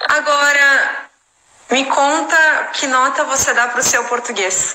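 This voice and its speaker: Raising and projecting her high-pitched voice, a woman speaks very slowly with fairly even intonation. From Brazil. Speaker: English teacher and translator. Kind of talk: casual chat. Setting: live stream.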